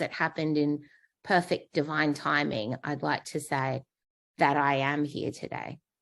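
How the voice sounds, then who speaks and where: In an Australian accent, a woman speaks at a fairly slow pace with a very deep, low pitch and fairly even intonation, on a very clean recording with a silent background. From Australia, Darwin. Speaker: patient, transplant survivor. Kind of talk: interview.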